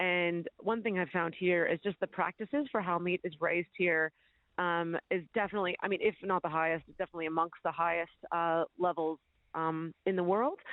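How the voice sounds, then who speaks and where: In an American accent, a woman with a plain, everyday voice speaks at a fairly quick pace and a fairly low pitch, her intonation fairly even and her loudness very even. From United States. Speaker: butcher and chef. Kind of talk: radio interview. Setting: phone call.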